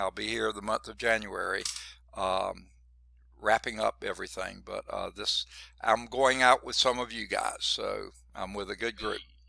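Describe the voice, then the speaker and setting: A man with a Southern US accent speaks at a fairly slow pace on a very clean recording with a silent background. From US South (Georgia). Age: 60s. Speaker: college math instructor. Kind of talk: lecture. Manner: casual, conversational.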